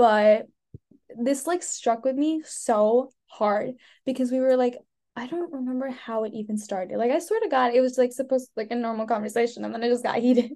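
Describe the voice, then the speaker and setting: A woman speaks at a fairly quick pace in a high pitch with a dark, mellow tone, ordinary pitch variation, and a General American accent. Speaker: podcast co-host. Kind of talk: casual chat.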